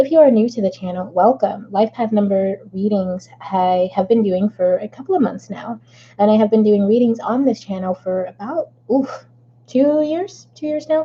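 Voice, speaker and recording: A woman with a somewhat breathy voice speaks with lively intonation. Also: fairly high pitch for a woman, moderate pace. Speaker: tarot card reader. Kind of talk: tarot reading monologue. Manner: casual, hesitant with fillers.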